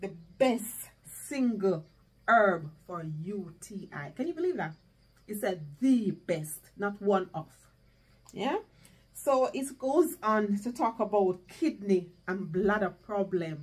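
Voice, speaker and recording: Speaking at a very slow pace, a woman sounds somewhat breathy and uses lively intonation. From Jamaica. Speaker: home gardening youtuber. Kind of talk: casual vlog tutorial. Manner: animated. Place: home room. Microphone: camera far.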